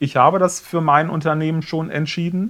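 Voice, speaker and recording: In a very clean recording with a silent background, a man with an unremarkable speaking voice talks at a moderate pace with fairly even intonation. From Rhineland (Cologne area), Germany. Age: 40s. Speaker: media agency owner. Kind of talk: casual interview.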